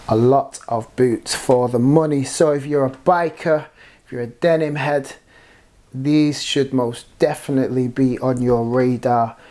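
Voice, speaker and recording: In a British accent, a man speaks at medium pitch with a dark, mellow tone and ordinary pitch variation. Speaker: product reviewer. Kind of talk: product review. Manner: hesitant, many fillers.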